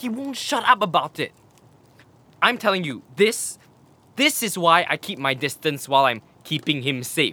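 The speaker uses a put-on character voice with a bright, sharp tone. The pace is fairly slow and the intonation lively. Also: man, fairly high pitch for a man.

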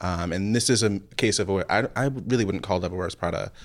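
In a plain, everyday voice, a man with an American accent talks at a moderate pace with lively intonation, on a very clean recording with a silent background. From New Jersey. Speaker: film critic. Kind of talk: casual chat.

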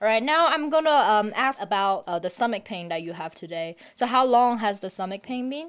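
Barely pausing, a woman talks at a fairly quick pace in a fairly high voice, with big swings in both loudness and pitch. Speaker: PhD student volunteer. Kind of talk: casual interview.

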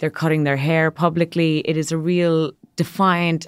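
A woman's very deep, low voice with an Irish accent, in a very clean recording over a silent background. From Ireland. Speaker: magazine editor. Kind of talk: casual interview.

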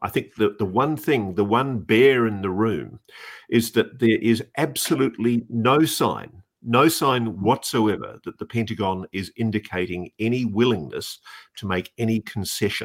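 A man talks at a moderate pace with an Australian accent. The recording is very clean, with a silent background. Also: medium pitch for a man, ordinary pitch variation. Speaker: podcast co-host and journalist. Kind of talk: casual chat. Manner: animated.

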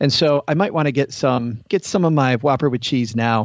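An unremarkable speaking voice, a man's medium pitch carries an American accent at a moderate pace with ordinary pitch variation. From Michigan. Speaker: podcast host. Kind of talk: casual chat.

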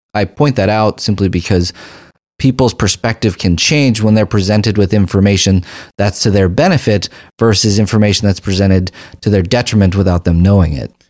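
In a very clean recording with a silent background, a man with an ordinary speaking voice talks at a fairly quick pace and fairly low pitch, his pitch varying in an ordinary way. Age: 40s. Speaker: family physician and health care advocate. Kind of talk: interview conversation.

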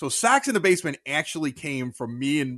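In a dry, close sound with no echo, a man with an American accent speaks in a plain, everyday voice at a fairly high pitch. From Chicago. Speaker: sports podcaster, former radio host. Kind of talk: casual interview.

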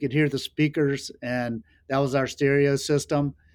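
On a very clean recording with a silent background, a man with a Southern US accent talks at a fairly slow pace and a fairly high pitch. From North Carolina, rural Laurinburg. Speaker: sunglasses company founder. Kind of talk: podcast interview.

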